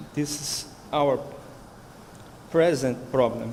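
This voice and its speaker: With a Brazilian Portuguese accent, a man at a fairly high pitch speaks at a very slow pace with fairly even intonation, and audible room echo surrounds him. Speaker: researcher. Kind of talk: conference talk. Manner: halting.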